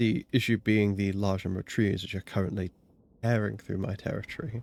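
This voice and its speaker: Spoken at a moderate pace, the voice has a relaxed, dark and mellow tone. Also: man. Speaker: gaming streamer. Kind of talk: gameplay commentary.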